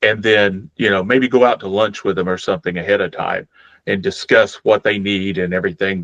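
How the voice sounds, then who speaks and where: In an ordinary speaking voice, a man talks at a fairly quick pace with a fairly low pitch and fairly even intonation. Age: 60s. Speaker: accessibility advocate for blind gamers. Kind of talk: interview.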